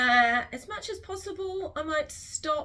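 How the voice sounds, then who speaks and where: A woman talks with a New Zealand accent. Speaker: literacy teacher. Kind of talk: tutorial. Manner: slow, clearly enunciated.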